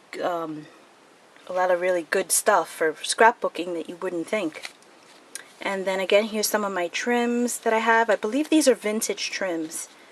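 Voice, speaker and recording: Over noticeable background noise, a woman talks at a moderate pace. Her pitch variation is ordinary. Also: medium pitch for a woman. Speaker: crafting video creator. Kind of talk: tutorial.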